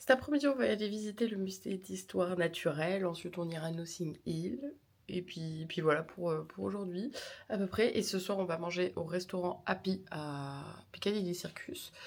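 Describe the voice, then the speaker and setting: Moderate-paced speech from a woman, fairly low in pitch, with ordinary pitch variation. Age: 20s. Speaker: vlogger and streamer. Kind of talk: travel vlog talking to camera. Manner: casual, hesitant with many fillers.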